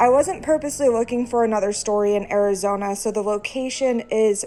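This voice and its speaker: Over music in the background, a woman talks at a fairly quick pace in a fairly high pitch with ordinary pitch variation. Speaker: horror story narrator. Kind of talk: casual talk to camera.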